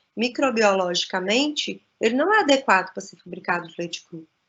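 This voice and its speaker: A woman with a fairly high-pitched voice. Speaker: cheese expert and lecturer. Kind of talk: lecture. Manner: halting.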